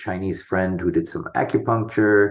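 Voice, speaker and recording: A man speaks with monotone, flat intonation. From international schools abroad (Sumatra, Singapore, America). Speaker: homeopath. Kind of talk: interview.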